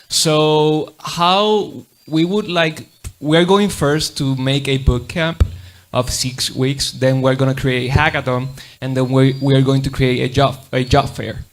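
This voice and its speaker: With music in the background, someone with a Puerto Rican accent speaks at a fairly slow pace using ordinary pitch variation. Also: man, fairly high pitch for a man. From Puerto Rico. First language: Spanish. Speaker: audience member asking a question. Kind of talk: audience question. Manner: halting.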